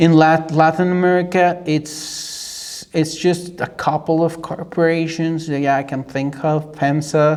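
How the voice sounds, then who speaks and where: The speaker talks at a fairly slow pace in a Mexican accent, with hardly any pauses and a monotone, flat intonation. Noticeable background noise runs underneath. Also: man, fairly high pitch for a man. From Mexico. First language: Spanish. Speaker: YouTuber reacting to videos. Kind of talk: casual commentary. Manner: halting, with many repetitions and fillers.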